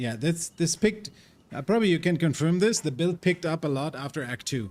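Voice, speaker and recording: Speaking fairly quickly with a non-native accent, a man uses lively intonation in a fairly high voice. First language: not English. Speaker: gaming streamer. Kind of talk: live gameplay stream chat. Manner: casual, filler-heavy.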